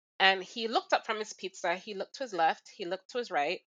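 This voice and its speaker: The speaker talks fairly quickly with a Jamaican accent. The intonation is lively. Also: woman. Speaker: recurring podcast co-host. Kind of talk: casual chat.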